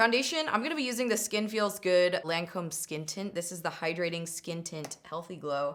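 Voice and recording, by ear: A woman talks at a moderate pace in a fairly low pitch with a fairly bright tone and ordinary pitch variation.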